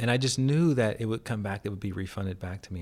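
A man is speaking. His voice is somewhat breathy. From Alabama. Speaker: meditation teacher. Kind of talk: casual interview.

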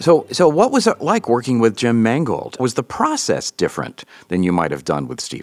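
The speaker keeps a moderate pace, and the sound is dry and close with no echo. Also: man. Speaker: interviewer. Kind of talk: interview.

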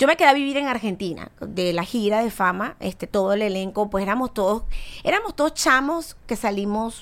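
An ordinary speaking voice: a woman, fairly high in pitch, with lively intonation and a moderate pace. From Venezuela. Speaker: singer. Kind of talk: casual chat.

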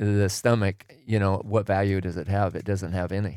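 At a moderate pace, a plain, everyday voice with an American accent comes through a very clean recording over a silent background. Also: man. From Oregon, US Pacific Northwest. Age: 60s. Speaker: retired tradesman, host's father. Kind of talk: casual chat.

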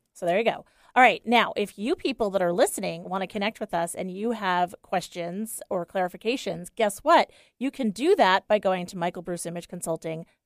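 An unremarkable speaking voice, a woman's, at medium pitch with ordinary pitch variation. She speaks at a fairly quick pace on a very clean recording with a silent background. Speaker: style consultant. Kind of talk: casual chat. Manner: bubbly, teasing, talkative.

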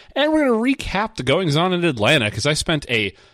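A man's fairly quick speech with very wide pitch swings. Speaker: podcast host. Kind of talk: casual chat.

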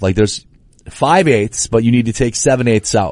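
This man talks at a fairly quick pace with a medium pitch and ordinary pitch variation. He has an ordinary speaking voice, and the background is quiet. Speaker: radio host. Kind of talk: casual chat. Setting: studio.

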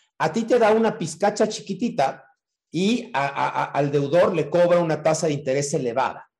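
This man's voice sits high, and his intonation moves in a lively way. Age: 50s. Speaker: crypto investment promoter. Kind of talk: interview.

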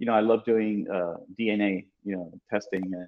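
Fairly low in pitch, a man talks with fairly even intonation in an unremarkable speaking voice. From South Florida, Cuban American. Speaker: museum director. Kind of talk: panel interview.

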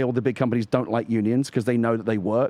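A man's dark, mellow tone with an English accent, over a quiet background. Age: 50s. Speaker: video game podcast co-host. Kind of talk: casual chat. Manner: halting.

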